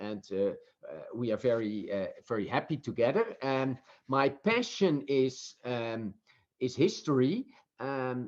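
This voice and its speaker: Speaking fairly slowly with a Dutch accent, a man uses a medium-pitched voice. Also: ordinary pitch variation. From Netherlands. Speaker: professor and author. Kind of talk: interview. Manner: halting, many fillers.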